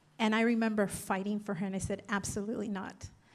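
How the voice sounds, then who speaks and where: A woman with a Spanish accent and monotone, flat intonation. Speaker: political candidate. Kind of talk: candidate forum answer. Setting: community forum with audience.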